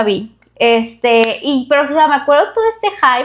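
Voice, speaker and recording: In a Monterrey accent, a woman speaks at a moderate pace with a high pitch, an animated tone and very wide pitch swings, all on a very clean recording with a silent background. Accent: Monterrey (regio) Mexican Spanish. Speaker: podcast co-host. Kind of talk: casual chat.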